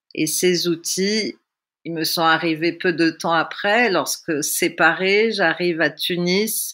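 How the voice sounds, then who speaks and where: Very clean with a silent background, the recording holds a woman's bright, sharp voice, fairly low in pitch, speaking very slowly with fairly even intonation. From Tunisia. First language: Russian (speaking French). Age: 60s. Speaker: theatre workshop leader. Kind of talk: personal testimony. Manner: reflective.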